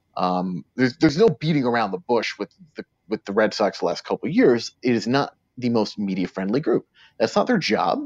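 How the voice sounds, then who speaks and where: Speaking at a fairly quick pace with lively intonation, a man with a medium pitch and an American accent is heard in a dry, close sound with no echo. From New York City. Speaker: sports reporter. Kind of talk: interview. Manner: halting, many repeated words.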